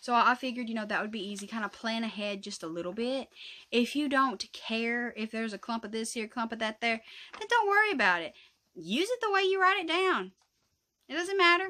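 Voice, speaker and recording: Speaking at a fairly quick pace in a Southern US accent, a woman with a fairly high pitch makes very wide pitch swings. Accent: Southern US rural. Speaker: craft YouTuber. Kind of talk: casual tutorial vlog. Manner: rambling, chatty.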